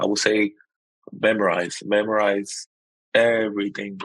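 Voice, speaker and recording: Here a man speaks in a fairly low pitch. His intonation is monotone and flat. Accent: Spanish. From Puerto Rico. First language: Spanish. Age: 30s. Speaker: Coast Guard member and Army veteran. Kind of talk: interview.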